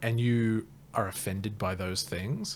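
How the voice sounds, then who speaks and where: A man with an Australian accent and a medium pitch speaks on a very clean recording with a silent background. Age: 30s. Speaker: stand-up comedian. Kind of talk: casual podcast chat.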